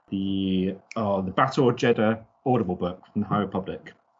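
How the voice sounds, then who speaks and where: A man speaks with a British accent. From Britain. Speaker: podcast host. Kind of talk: casual chat. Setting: video call. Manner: chatty, laughs often.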